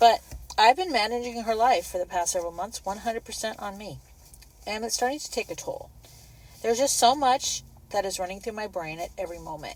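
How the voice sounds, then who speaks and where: In a plain, everyday voice, a woman talks fairly quickly at a fairly high pitch, with lively intonation and big swings in loudness. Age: 60s. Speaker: caregiver vlogger. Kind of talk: personal vlog monologue.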